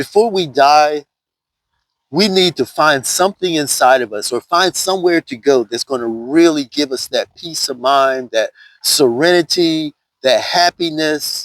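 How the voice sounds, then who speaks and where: Fairly slow delivery, a very clean recording with a silent background, and a dry, close sound with no echo. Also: man, fairly high pitch for a man, ordinary pitch variation. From US South. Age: 60s. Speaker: vlogger. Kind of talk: casual vlog monologue.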